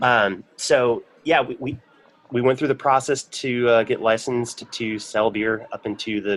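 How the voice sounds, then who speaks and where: Using an ordinary speaking voice with an American accent, the speaker keeps a moderate pace and fairly even intonation. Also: man. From Michigan. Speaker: brewery sales representative. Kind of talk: casual interview.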